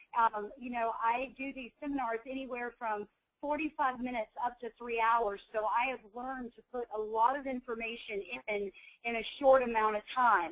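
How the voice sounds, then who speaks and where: A woman with a Southern US accent speaks at a moderate pace in a high voice. Her intonation stays fairly even while her loudness swings widely. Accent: Southern American. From US South. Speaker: nurse and coding educator. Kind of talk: webinar presentation. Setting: online webinar.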